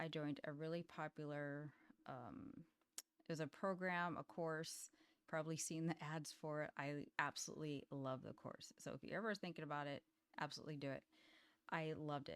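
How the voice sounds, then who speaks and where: A woman's very deep, low-pitched voice at a moderate pace, fairly even in intonation, with a dry, close sound and no echo. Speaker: indie author and software founder. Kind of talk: casual vlog talk. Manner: casual, with fillers.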